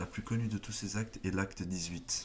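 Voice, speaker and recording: A man talks with fairly even intonation at a moderate pace while noticeable background noise carries on behind him. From not from France, French-speaking. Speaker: YouTuber, political commentator. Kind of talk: casual commentary vlog. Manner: stutters, halting with many fillers.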